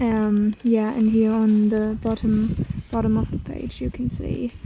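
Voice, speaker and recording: Over noticeable background noise, a woman with a German accent speaks at a very slow pace. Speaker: artist. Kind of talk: casual chat. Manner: halting.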